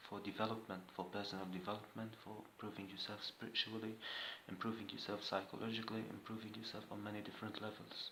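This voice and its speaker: Soft-spoken and monotone, a man with a fairly low pitch talks at a very fast pace in a flat intonation, with audible room echo. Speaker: vlogger sharing personal experience. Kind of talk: personal monologue vlog. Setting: indoors, room at home with camera. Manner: soft-spoken, voice kept low.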